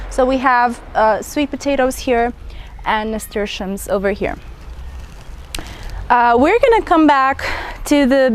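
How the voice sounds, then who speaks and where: Noticeable background noise sits behind a woman speaking. Her voice is high-pitched and her pace is fairly slow. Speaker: gardening vlogger. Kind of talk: garden tour walkthrough. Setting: outdoors in garden. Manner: casual, chatty.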